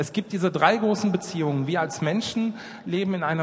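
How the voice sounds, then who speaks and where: Noticeable background noise sits under a man speaking at a fairly quick pace with ordinary pitch variation. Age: 40s. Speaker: children's charity worker. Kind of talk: church talk with flipchart.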